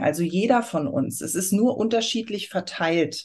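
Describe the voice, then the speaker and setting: A woman with an ordinary speaking voice, medium pitch and lively intonation, against a quiet background. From Germany, Aschaffenburg area (Lower Franconia/Hesse border). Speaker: astrology consultant. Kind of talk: interview.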